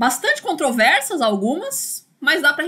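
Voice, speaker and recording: Raised, projected female speech with a bright, sharp tone. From Brazil, São Paulo. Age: 30s. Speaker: university lecturer. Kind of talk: online lecture. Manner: casual, filler-heavy with repetitions.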